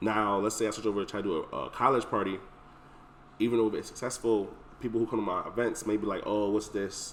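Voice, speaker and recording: The words come out as mumbling at a very fast pace. The intonation stays monotone and flat. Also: man, fairly low pitch for a man. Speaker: event planner. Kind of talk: casual chat.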